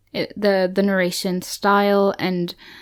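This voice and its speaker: A woman speaks at medium pitch in a very clean recording with a silent background. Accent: German. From Germany. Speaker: book podcast co-host. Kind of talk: casual chat.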